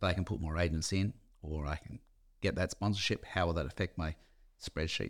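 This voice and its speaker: A man with a very deep, low pitch speaks fairly quickly and with fairly even intonation in a very clean recording with a silent background. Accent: Australian. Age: 60s. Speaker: real estate company founder. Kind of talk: interview. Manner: casual.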